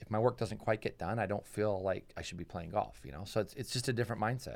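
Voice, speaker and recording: A very clean recording with a silent background and ordinary pitch variation. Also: man. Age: 40s. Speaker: retired motorcycle racer and riding coach. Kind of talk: interview. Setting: studio.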